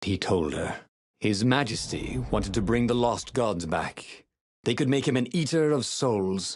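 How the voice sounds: A natural reading voice with lively intonation sounds over a quiet background.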